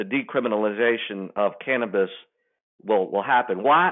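In a normal speaking voice, a man talks at a moderate pace and medium pitch with lively intonation. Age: 60s. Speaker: economic development consultant. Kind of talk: interview.

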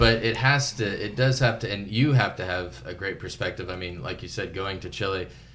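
An ordinary speaking voice moves at a fairly quick pace with lively intonation. There are hardly any pauses. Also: man, fairly low pitch for a man. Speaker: church podcast host. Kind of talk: interview.

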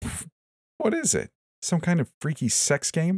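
In a dry, close recording with no echo, a man uses a put-on character voice, fairly high in pitch and slightly mellow, swinging very widely in pitch at a fairly slow pace.

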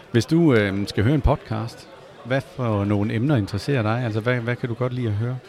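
A man with a medium pitch and fairly even intonation talks at a moderate pace, noticeable background noise behind him. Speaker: podcast host. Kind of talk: interview. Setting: gaming event venue.

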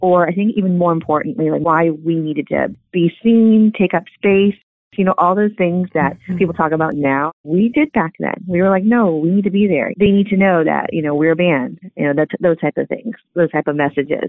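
A woman with an American accent and an ordinary speaking voice, fairly low in pitch, at a fairly quick pace, with ordinary pitch variation and very even loudness. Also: hardly any pauses. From Southern California. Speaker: former punk band member. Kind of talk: interview testimony.

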